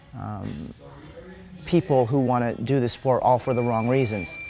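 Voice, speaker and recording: A man is speaking. Music plays in the background. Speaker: martial arts coach and former Muay Thai champion. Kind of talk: interview answer.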